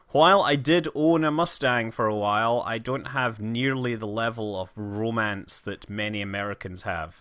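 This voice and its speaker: Over a silent background in a very clean recording, a man talks at a moderate pace with hardly any pauses, his medium-pitched voice bright and sharp in tone with ordinary pitch variation. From Scotland. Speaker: livestreamer gamer. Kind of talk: casual game livestream commentary. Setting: livestream with camera.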